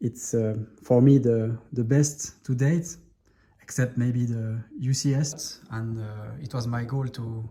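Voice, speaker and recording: A man with a French accent speaks very slowly at a medium pitch, his dark, mellow tone somewhat breathy and his intonation fairly even. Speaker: Lego hobbyist video creator. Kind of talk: show-and-tell tutorial. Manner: halting, many fillers.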